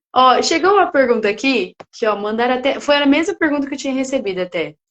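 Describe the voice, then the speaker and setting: Speaking at a fairly quick pace, a woman with a high pitch sounds animated. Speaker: podcast host. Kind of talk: podcast interview.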